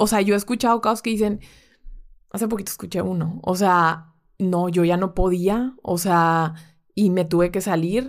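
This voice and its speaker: A woman with a medium pitch and fairly even intonation speaks in a plain, everyday voice. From Monterrey, northern Mexico. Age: 20s. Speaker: bank currency trader. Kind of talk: casual interview chat.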